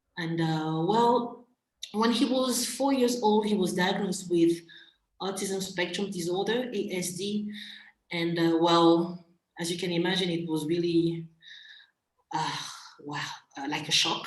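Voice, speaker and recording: A woman with a slight French accent speaks at a medium pitch and a fairly slow pace. Her pitch varies in an ordinary way, with long, frequent pauses. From Central African Republic. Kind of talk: interview conversation. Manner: hesitant, many fillers.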